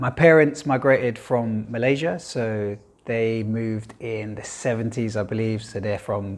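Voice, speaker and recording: A man in a London accent at a fairly slow pace. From East London, England. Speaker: filmmaker. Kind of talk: interview monologue. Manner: casual, with fillers.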